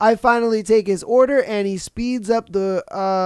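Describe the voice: A passage in plain reading aloud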